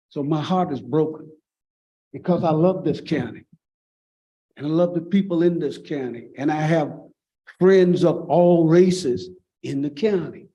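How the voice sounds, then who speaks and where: A man with a Virginia accent, a dark, mellow tone and fairly high pitch, at a fairly slow pace with long, frequent pauses. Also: ordinary pitch variation. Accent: Southern US (Virginia). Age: 60s. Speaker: pastor. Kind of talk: public comment at school board meeting. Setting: public meeting.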